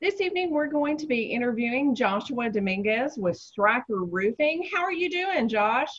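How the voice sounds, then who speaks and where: A woman with a strong Southern US accent, somewhat breathy, at a moderate pace, with very wide pitch swings. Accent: deep Southern. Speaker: real estate agent. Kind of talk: interview.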